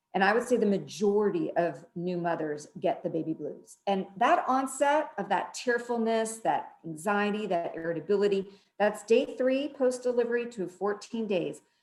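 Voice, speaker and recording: A woman's medium-pitched voice with lively intonation and hardly any pauses. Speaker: psychologist. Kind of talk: expert talk in a live-stream discussion. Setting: live stream video call. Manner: fast.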